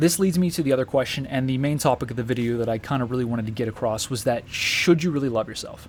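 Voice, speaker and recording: Talking at a very fast pace, a man uses ordinary pitch variation in a fairly high voice. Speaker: YouTuber sharing personal views. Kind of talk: personal monologue. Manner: hesitant, with ums and ahs.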